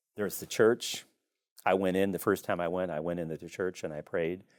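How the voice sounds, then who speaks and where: A man's very deep, low voice with a Midwestern American accent, fairly quick pace and ordinary pitch variation, on a very clean recording with a silent background. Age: 60s. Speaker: priest and exorcist. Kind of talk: podcast interview.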